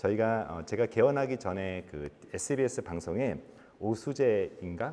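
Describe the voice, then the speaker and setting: Dark and mellow in tone, a man's voice moves through very wide pitch swings at a moderate pace. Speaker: physician and author. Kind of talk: lecture. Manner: conversational with filler 'uh'.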